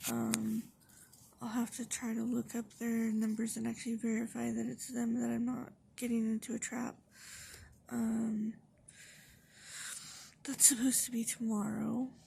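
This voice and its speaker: Soft-spoken and at a moderate pace, a woman talks with long, frequent pauses. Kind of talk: casual talk to camera. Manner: quiet, soft-spoken.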